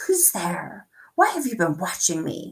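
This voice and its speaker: This is a put-on character voice with a fairly high pitch and a hissing sound. It moves at a moderate pace. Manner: suspicious, wary.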